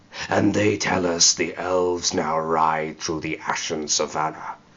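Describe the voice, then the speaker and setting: A man puts on a growling character voice, pitched very deep and low. He talks at a moderate pace. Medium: read story. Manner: fierce, zealous.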